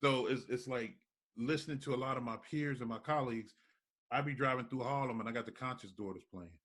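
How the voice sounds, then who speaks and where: In a New York accent, a man rattles along at a very fast pace, his pitch medium with ordinary variation. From New York, Brooklyn. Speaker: radio host. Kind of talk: interview. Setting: studio. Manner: animated.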